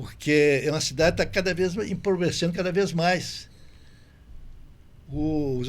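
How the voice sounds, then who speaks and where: A man with a fairly high pitch speaks with vocal fry. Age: 80s+. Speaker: businessman and former politician. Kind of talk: interview.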